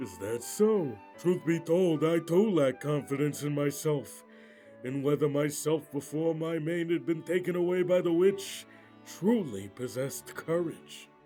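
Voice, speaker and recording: A man puts on a character voice, pitched fairly high, at a moderate pace. Clear music plays in the background. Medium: fan dub. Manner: hesitant.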